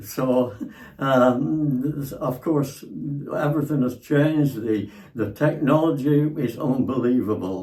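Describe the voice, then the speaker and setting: At a very slow pace, a man of medium pitch speaks in a dark, mellow, somewhat breathy tone with ordinary pitch variation. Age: 90s. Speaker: elderly father-in-law. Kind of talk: casual chat. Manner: halting, repetitive.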